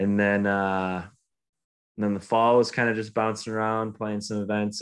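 Over a quiet background, a man with an Upper Midwest accent speaks at a moderate pace in a fairly low, monotone, flat voice. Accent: Upper Midwest American. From Michigan. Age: 20s. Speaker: professional golfer. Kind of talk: casual interview.

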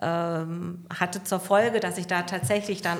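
A woman's fairly low pitch with ordinary pitch variation. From Hesse, Germany (northern Hesse). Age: 60s. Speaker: hotline employee. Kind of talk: casual interview. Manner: calm.

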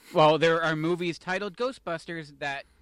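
Here is a man with a normal speaking voice. He talks at a moderate pace. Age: 30s. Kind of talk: casual chat.

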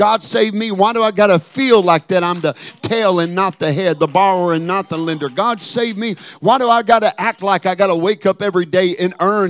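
At a fairly quick pace, a man with a high pitch and ordinary pitch variation is heard in a dry, close sound with no echo. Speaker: preacher. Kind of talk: sermon. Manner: animated.

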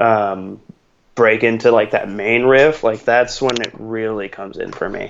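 A man's medium-pitched, ordinary speaking voice at a fairly slow pace. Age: 20s. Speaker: metal fan podcast guest. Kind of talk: casual chat.

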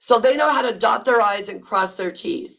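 Lively intonation marks this woman's fairly high voice. Her tone is energetic and animated. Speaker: employment lawyer podcast host. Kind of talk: podcast monologue, informative. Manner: energetic, animated.

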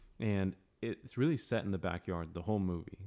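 A man's voice with fairly even intonation. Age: 30s. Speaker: author and ministry leader. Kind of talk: casual chat. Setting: podcast interview.

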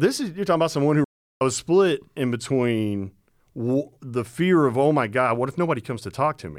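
An unremarkable speaking voice from a man, medium in pitch with lively intonation, on a very clean recording with a silent background. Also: fairly quick pace. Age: 40s. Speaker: podcast co-host. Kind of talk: casual chat.

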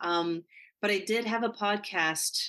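Over a quiet background, a woman speaks in a bright, sharp tone with ordinary pitch variation. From northern New Mexico. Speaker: actress and acting coach. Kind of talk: interview.

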